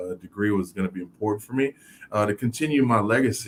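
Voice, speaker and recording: A man talks in a normal speaking voice with an American accent. His pitch is fairly low, with ordinary pitch variation. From Miami, Florida (Haitian family, born New York). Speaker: former pro football player, author and speaker. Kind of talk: interview. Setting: live video show. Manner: many fillers (um, you know).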